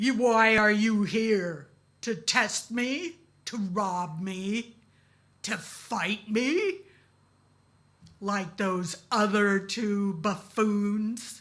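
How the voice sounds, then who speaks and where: A booming, put-on character voice, female-sounding and fairly high, raised and projected at a very slow pace with long, frequent pauses. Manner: suspicious, challenging.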